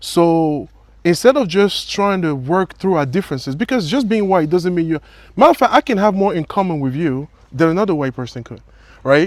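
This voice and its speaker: A man with a French accent, high-pitched, lively intonation and a fairly quick pace. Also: very clean recording, silent background. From Africa. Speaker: interviewer, military veteran. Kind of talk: interview.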